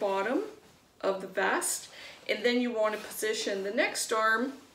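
Fairly slow, fairly evenly intoned speech with audible room echo and light background noise. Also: woman. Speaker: craft demonstrator. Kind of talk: tutorial. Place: home room. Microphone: camera far.

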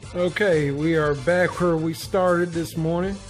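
The speech shows ordinary pitch variation, with faint music in the background. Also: man. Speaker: motorcycle vlogger. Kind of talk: casual vlog chat. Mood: reflective, slightly preachy. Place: home room. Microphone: phone near.

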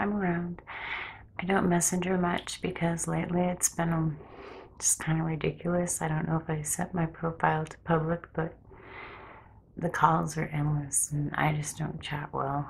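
Soft-spoken, a woman talks at a fairly low pitch and moderate pace with monotone, flat intonation over light background noise. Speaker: ASMR creator. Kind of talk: ASMR ramble. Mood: personal, slightly anxious. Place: home room. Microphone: phone near.

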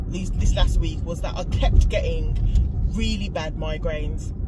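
Over loud background noise, a woman speaks at a moderate pace with a dry sound and no echo. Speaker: vlogger. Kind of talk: casual vlog chat. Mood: earnest, slightly frustrated. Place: car. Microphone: phone near.

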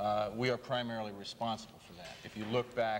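A man with a fairly low pitch talks at a very fast pace over light background noise. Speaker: radio interviewee. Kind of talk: interview answer. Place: studio.

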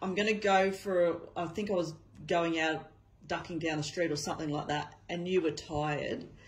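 Fairly low in pitch, a woman speaks with an Australian accent and a somewhat breathy quality. Her pace is moderate and her intonation fairly even. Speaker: family carer filming. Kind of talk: casual talk, interviewing family member. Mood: gentle, warm, reminiscing.

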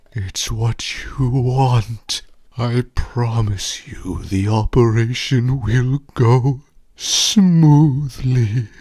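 At a very slow pace, a man uses a put-on character voice at medium pitch. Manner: smug, purring, menacing.

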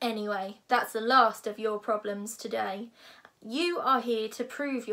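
Someone is reading aloud in a natural voice. The words come across plainly.

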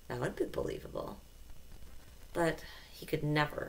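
A woman talks at a moderate pace in a warm tone. Light background noise sits behind her. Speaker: audiobook narrator. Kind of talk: literary audiobook reading, scripted narration. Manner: steady, measured storytelling pace with a warm, expressive narrator's tone. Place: home room. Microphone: headset.

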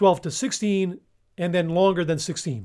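A man with a high pitch talks over a quiet background. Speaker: nutrition science educator. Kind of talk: explainer video. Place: home room. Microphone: studio mic.

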